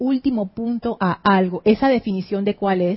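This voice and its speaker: Somewhat breathy, a woman with a Caribbean Spanish accent talks at a medium pitch with ordinary pitch variation. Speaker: spiritual teacher. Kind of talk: spiritual class livestream. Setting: studio.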